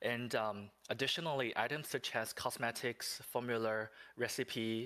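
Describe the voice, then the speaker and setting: At a fairly slow pace, a man with a non-native accent speaks in a bright, sharp tone. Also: very clean recording, silent background. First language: non-English. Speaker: game developer representative. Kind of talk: livestream Q&A. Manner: reading from notes; halting.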